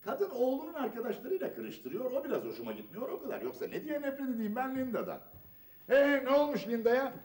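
Using a put-on character voice with a slightly mellow tone, a man speaks at an extremely high pitch and a fairly quick pace, his pitch swinging very widely.

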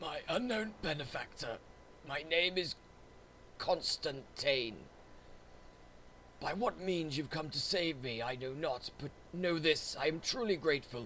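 A put-on, croaky character voice from a man, fairly high in pitch, at a moderate pace over clear background noise. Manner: grateful, formal.

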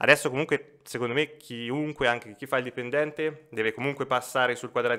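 Over a quiet background, a man with an Umbrian accent talks at a very fast pace. His tone is bright and sharp, his intonation fairly even. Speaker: financial advisor; podcast guest. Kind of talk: casual chat. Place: studio. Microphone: studio mic.

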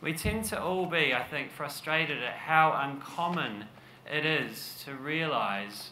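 A man talks amid light background noise, and room echo is audible. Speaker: conference speaker. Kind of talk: presentation talk. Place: stage. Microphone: podium.

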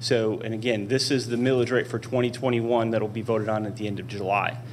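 A man speaks in a monotone, flat delivery. There is light background noise behind him. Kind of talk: presentation to a board. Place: hall. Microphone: podium.

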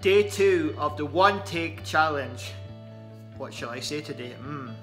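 With clear music in the background, a man in an Aberdeen accent speaks at a fairly slow pace through very wide pitch swings. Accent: Aberdeen area Scottish. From outside Aberdeen, Scotland. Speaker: vlogger. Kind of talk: casual talk to camera. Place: home room. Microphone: phone near.

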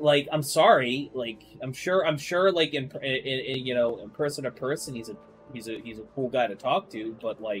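A man's voice with big swings in loudness and faint music in the background. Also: ordinary pitch variation, moderate pace. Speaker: streamer. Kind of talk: casual stream commentary. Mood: dismissive, irritated.

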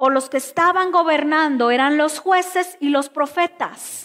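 Against a quiet background, a woman speaks at a fairly slow pace in a high pitch. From Mexico, Chiapas (Tuxtla Gutiérrez), raised in Veracruz from age 11; Chiapas, Mexico. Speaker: pastor. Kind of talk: sermon. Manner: emphatic, repetitive preaching. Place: church.

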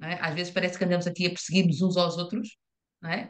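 A woman's fairly low-pitched voice over a quiet background. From Portugal. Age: middle-aged. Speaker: invited expert speaker; speaker. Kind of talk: presentation with slides. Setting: video call. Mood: engaged, argumentative. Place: home room. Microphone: video call.

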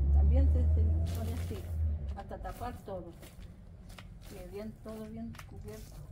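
With loud background noise behind her, a woman of very deep, low pitch speaks at a fairly slow pace, with big swings in loudness and long, frequent pauses. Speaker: gardening video host. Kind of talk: tutorial. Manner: halting. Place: garden. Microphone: camera far.

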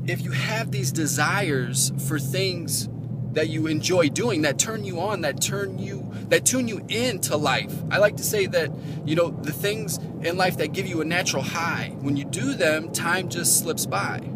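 Amid loud background noise, a man talks at a fairly slow pace with ordinary pitch variation in a dry sound with no echo. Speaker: relationship advice vlogger. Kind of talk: motivational talk to camera. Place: car. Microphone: phone near.

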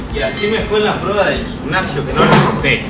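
A man at a fairly quick pace over loud background noise. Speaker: vlogger. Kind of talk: casual vlog chat. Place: home room. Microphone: phone near.

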